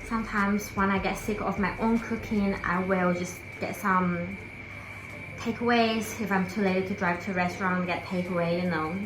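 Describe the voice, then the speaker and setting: With audible room echo and noticeable background noise, a woman with a non-native accent speaks at a moderate pace in a relaxed tone, her medium pitch showing ordinary variation. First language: not English. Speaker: lifestyle vlogger. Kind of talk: casual talk to camera. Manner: relaxed, with fillers.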